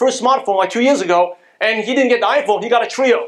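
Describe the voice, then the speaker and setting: With an American accent, a man speaks very fast in an animated tone, his extremely high pitch carrying lively intonation. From Brooklyn, New York, US. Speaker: motivational business speaker. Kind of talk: motivational business presentation. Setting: stage with audience.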